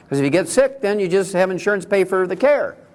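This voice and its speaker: In a very clean recording with a silent background, a man talks at a very fast pace with lively intonation. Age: 70s. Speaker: naturopathic doctor giving a health talk. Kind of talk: lecture. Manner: animated.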